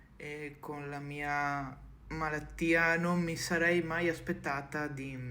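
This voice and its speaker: A woman speaks at a very slow pace with a very deep, low pitch and monotone, flat intonation. Audible room echo surrounds her voice. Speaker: content creator. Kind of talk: personal video message. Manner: halting.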